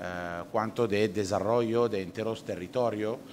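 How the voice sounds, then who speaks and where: Speaking at a fairly slow pace, a man with an Italian accent uses a fairly low pitch and ordinary pitch variation. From Italy. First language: Italian (speaking Spanish). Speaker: nature tourism company director. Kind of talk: conference presentation. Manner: halting, with fillers.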